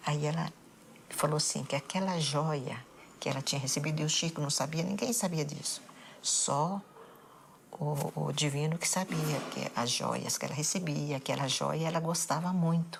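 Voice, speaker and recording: Her loudness stays very even as a woman with a very deep, low pitch and vocal fry speaks with fairly even intonation. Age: 70s. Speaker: bereaved mother. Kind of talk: interview testimony.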